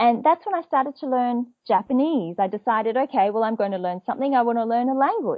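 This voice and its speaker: Lively intonation marks a woman talking at a fairly quick pace in an Australian accent. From Australia, Perth. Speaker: business etiquette trainer. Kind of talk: interview.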